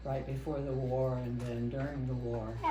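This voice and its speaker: The voice has an American accent, and there is noticeable background noise. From US Midwest, Kansas (Wichita). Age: 80s+. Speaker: longtime parishioner. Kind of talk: oral history interview.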